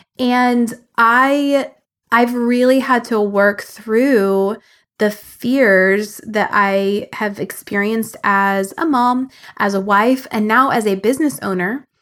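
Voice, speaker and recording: A woman speaks very slowly at a fairly high pitch with ordinary pitch variation. The recording is very clean with a silent background. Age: 40s. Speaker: business coach and podcast host. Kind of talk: solo podcast monologue. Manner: animated.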